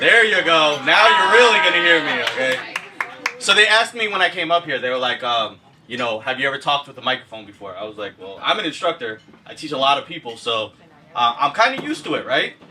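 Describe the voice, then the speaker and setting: Over noticeable background noise, a man with a fairly high pitch talks very fast, his pitch swinging very widely and his loudness rising and falling sharply. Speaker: event moderator and real estate instructor. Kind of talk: event moderation. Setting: event venue with audience, PA system.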